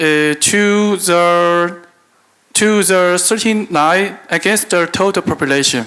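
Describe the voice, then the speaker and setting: A man with a non-native accent speaks at a high pitch with ordinary pitch variation. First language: Chinese. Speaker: business executive. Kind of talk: conference keynote. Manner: halting, reading from paper.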